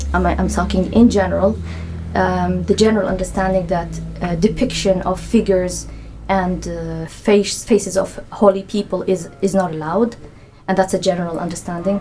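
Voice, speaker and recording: A woman speaks with an Arabic accent at a moderate pace. Noticeable background noise can be heard. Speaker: anthropologist. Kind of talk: casual interview.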